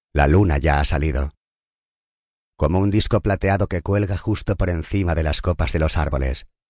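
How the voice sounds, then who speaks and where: A man's very deep, low voice with vocal fry and ordinary pitch variation, dry and close with no echo. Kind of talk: guided meditation. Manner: slow, soft, soothing, calm; measured pace with long pauses between counted numbers.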